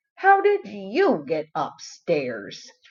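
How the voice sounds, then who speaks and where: A woman performs a put-on character voice. She growls as she speaks. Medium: read story.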